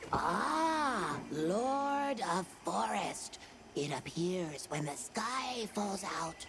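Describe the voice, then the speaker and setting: Against clear background noise, a put-on character voice at middle pitch drags along at a very slow pace. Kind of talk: video game character dialogue. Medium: video game. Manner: quaint broken phrasing.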